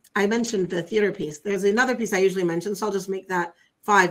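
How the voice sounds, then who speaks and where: With an American accent, a woman talks against a quiet background. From US suburbs. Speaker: Islamic scholar and educator. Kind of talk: interview. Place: home room.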